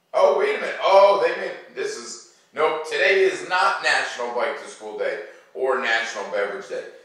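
With strong room echo, a man talks at a moderate pace in a medium pitch, using ordinary pitch variation and a fairly bright tone.

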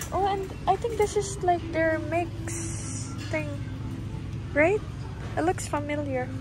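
Clear music plays in the background. A woman speaks at a very slow pace. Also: dry sound with no echo. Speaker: vlogger filming. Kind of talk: casual vlog chat. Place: shop. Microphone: phone near.

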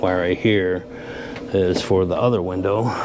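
Against noticeable background noise, a man speaks with monotone, flat intonation. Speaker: channel host. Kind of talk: casual vlog chat. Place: garage. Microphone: lapel.

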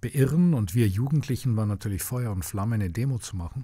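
On a very clean recording with a silent background, a man with a dark, mellow tone and a fairly low, somewhat breathy voice talks at a fairly quick pace with ordinary pitch variation. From Munich, Bavaria. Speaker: journalist and filmmaker. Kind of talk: interview. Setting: podcast recording.

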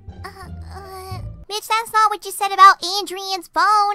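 A put-on character voice speaks at an extremely high pitch. The pace is fairly slow, with faint music in the background. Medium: dub. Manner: brash, crude, pushy.

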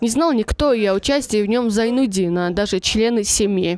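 A woman uses an ordinary speaking voice at a fairly high pitch and a moderate pace, with ordinary pitch variation. The sound is dry and close, with no echo. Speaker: TV news correspondent. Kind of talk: TV news report narration.

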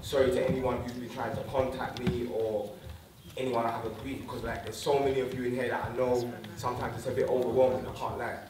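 A man speaks at a fairly quick pace. Audible room echo and noticeable background noise surround his voice. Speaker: speaker. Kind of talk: public address to community audience. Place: stage.

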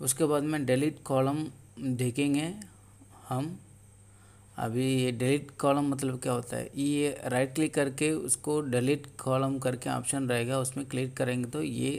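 A man speaks with a Tamil accent at medium pitch. His intonation is flat and monotone. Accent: Tamil-accented Hindi. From Tamil Nadu, India. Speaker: tech tutorial youtuber. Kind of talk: tutorial. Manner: halting.

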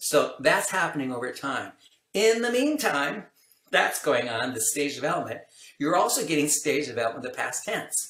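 Speaking at a moderate pace in an American accent, a man is heard with audible room echo. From California, US. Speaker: language acquisition researcher, professor; professor. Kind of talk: interview, casual explanatory chat. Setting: video call. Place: home room.

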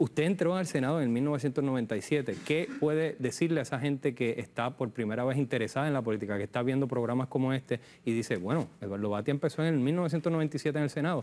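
A man at a fairly quick pace, with ordinary pitch variation and hardly any pauses. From Puerto Rico. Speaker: political analyst. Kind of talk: TV interview. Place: studio. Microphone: lapel.

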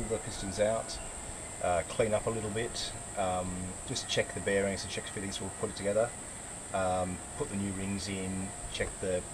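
A moderate pace over noticeable background noise. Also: man. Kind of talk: tutorial. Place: workshop. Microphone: camera far.

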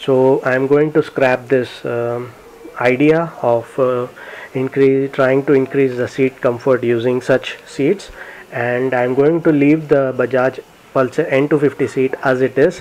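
At a fairly slow pace, a man of medium pitch talks with fairly even intonation and a slightly mellow tone.

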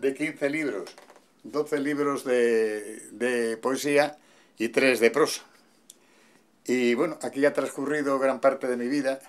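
A man with a Castilian accent talks at a very slow pace, leaving long, frequent pauses. His intonation stays fairly even. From Madrid, Spain. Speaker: voice actor and poet. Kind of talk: casual talk to camera, home tour. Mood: warm, nostalgic. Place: home room.

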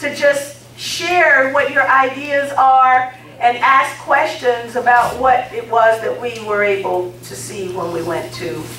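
A very slow delivery with big swings in loudness, audible room echo, and light background noise. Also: woman, high pitch for a woman. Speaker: guest. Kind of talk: public speech. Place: hall. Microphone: camera far.

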